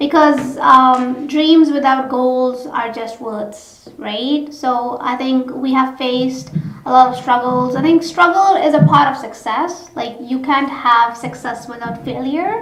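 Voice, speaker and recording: Speaking at a fairly slow pace with hardly any pauses, a woman with a high pitch is heard over noticeable background noise and audible room echo. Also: ordinary pitch variation. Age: young. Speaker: co-host of a talk show. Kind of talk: talk show interview.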